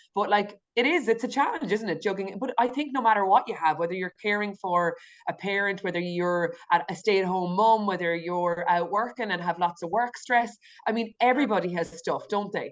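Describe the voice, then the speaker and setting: Over a quiet background, a woman speaks at a fairly quick pace and medium pitch with ordinary pitch variation. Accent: rural Irish. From west of Ireland, Galway. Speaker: nurse and intuitive eating coach. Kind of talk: podcast interview.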